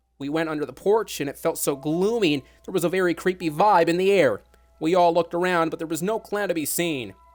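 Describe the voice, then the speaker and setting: Music plays in the background as a man speaks at a moderate pace. His voice is high-pitched, with lively intonation. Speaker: online show broadcaster. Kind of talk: horror story narration.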